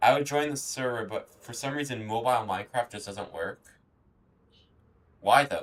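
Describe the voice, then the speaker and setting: A man talks at a moderate pace and a medium pitch with ordinary pitch variation, big swings in loudness, and long, frequent pauses. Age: 20s. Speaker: gaming streamer. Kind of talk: live stream gameplay chat. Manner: casual, halting with repetitions.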